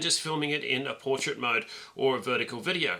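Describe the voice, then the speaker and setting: There is noticeable background noise as a man speaks. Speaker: YouTube content creator. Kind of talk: tutorial. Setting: indoors filming to camera, low light. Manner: fast.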